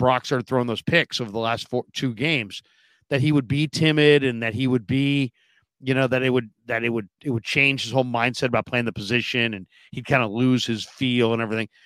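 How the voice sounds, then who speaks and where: Recorded very cleanly over a silent background with a dry, close sound and no echo, a man with a plain, everyday voice at medium pitch speaks at a fairly quick pace. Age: 50s. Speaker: sports podcast co-host. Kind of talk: casual sports talk.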